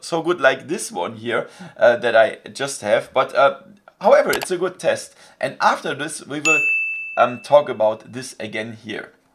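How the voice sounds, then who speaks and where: Loud background noise runs under speech that moves at a moderate pace. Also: man. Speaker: tech youtuber. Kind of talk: casual vlog chat. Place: home room.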